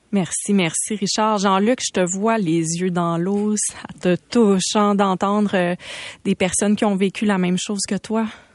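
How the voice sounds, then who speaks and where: A woman talks at a fairly slow pace in a medium pitch. It is an ordinary speaking voice with fairly even intonation. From Quebec, Saguenay. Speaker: radio host. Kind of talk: radio interview. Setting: studio.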